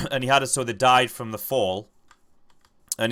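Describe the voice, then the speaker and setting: A man speaks at a moderate pace in a medium pitch. His tone is bright and sharp. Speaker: gaming youtuber. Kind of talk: casual gameplay commentary. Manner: hesitant, filler words.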